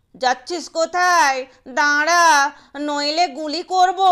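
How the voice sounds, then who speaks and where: A woman's raspy, put-on character voice, extremely high-pitched, raised and projected, with fairly even intonation. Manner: threatening.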